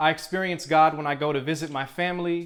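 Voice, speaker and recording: A man with an American accent talks at a moderate pace. His pitch is fairly high and his intonation fairly even. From Cleveland, Ohio. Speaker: spoken word poet. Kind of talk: spoken word poetry performance. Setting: live venue.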